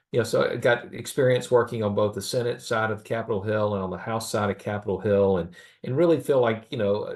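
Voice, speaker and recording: A man with a Southern US accent talks very fast at medium pitch. His pitch varies in an ordinary way. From US South, small-town Alabama. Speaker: government relations consultant. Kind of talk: podcast interview. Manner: halting, many fillers.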